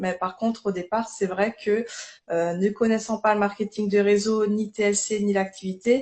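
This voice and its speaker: A woman with a slight Alsatian accent, fairly even intonation and a fairly slow pace. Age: 30s. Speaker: network marketing distributor. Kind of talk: live interview testimony. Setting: livestream.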